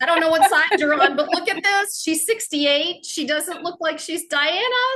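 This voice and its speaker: Raised and projected, a woman's voice rings out extremely high and bright with a sharp tone, at a moderate pace with ordinary pitch variation. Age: 60s. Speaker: podcast host. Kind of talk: casual chat.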